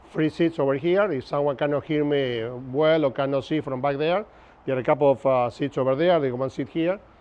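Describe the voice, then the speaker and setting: A man talks with a strong Argentine accent at a fairly quick pace. His pitch is fairly high, with ordinary pitch variation. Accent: Argentinian Spanish accent, strong. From Argentina, Buenos Aires. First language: Spanish. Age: 50s. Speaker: navigation instructor. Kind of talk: lecture. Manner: casual, conversational.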